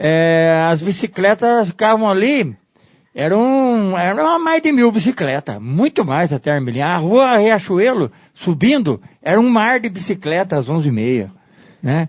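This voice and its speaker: Speaking at a fairly slow pace, the man has a high pitch and very wide pitch swings. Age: 70s. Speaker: interviewee, local cyclist. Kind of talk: interview. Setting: home garage.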